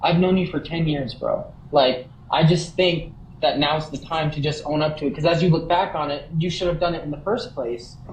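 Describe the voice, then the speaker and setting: Over noticeable background noise and audible room echo, a man talks at a moderate pace with fairly even intonation. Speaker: livestreamer. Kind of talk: heated conversation. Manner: stuttering at times. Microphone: sound cutting out.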